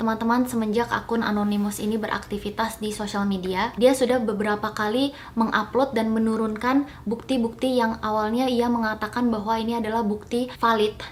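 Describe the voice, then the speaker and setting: A woman's fairly high voice, fairly quick and with hardly any pauses, monotone and flat, over noticeable background noise. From Indonesia (Bali). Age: 30s. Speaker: YouTuber. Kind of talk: public clarification statement. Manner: formal.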